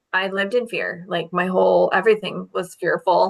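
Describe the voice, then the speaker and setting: Here a woman uses a normal speaking voice at a medium pitch and moderate pace. The background is quiet. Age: 40s. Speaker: dental hygienist and network marketer. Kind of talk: workshop presentation.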